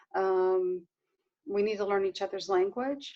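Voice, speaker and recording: A woman with an American accent. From US South. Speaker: Palestinian rights activist. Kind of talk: casual interview conversation.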